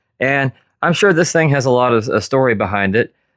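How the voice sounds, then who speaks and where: A man with an unremarkable speaking voice, fairly quick pace and ordinary pitch variation against a quiet background. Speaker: woodworker, furniture restorer. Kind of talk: casual talk to camera. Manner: casual, joking.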